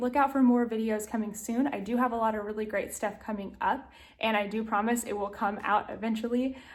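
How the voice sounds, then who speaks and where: Speaking at a fairly quick pace, a woman with an American accent has a high pitch. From US South, Tennessee. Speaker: lifestyle vlogger. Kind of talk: casual vlog talk to camera. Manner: animated.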